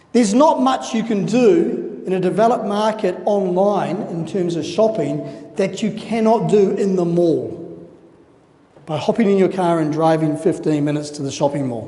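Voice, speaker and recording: Over noticeable background noise, someone speaks at a moderate pace with a New Zealand accent. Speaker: conference speaker. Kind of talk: conference presentation.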